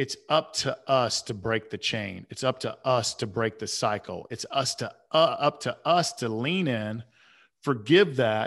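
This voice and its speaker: A man with an American accent and a normal speaking voice talks at a fairly slow pace in a medium pitch, his intonation lively against a quiet background. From US South, Atlanta. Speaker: author and men's coach. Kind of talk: podcast interview, personal story.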